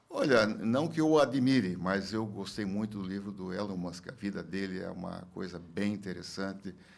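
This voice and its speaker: With hardly any pauses, a man talks at a moderate pace and fairly low pitch with ordinary pitch variation, and room echo is audible. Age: 70s. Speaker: former industry federation president, businessman. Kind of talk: podcast interview. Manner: halting, many fillers and repetitions.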